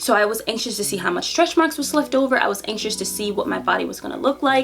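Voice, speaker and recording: Over music in the background, a woman speaks at a very fast pace with lively intonation. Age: 30s. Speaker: beauty vlogger. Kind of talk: casual vlog monologue. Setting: home office.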